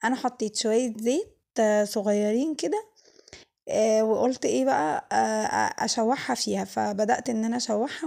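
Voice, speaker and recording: Fairly slow speech from a woman with a dark, mellow tone. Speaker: cooking vlogger. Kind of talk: cooking tutorial. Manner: halting, many fillers.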